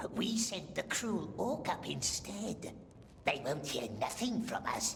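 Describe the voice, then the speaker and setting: Someone speaks in a put-on character voice. Clear background noise runs underneath. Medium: video game. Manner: speaks of itself as we, broken grammar.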